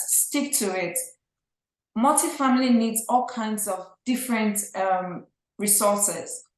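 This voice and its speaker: A woman with a Nigerian accent, fairly high in pitch, with ordinary pitch variation. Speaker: real estate investor. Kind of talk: podcast interview.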